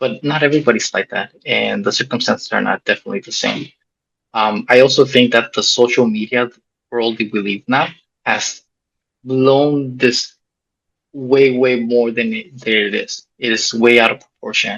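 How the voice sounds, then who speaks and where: This is an ordinary speaking voice at a moderate pace. Its intonation is fairly even. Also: man, medium pitch for a man. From Mexico, raised in US. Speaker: soldier and former missionary. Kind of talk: interview testimony.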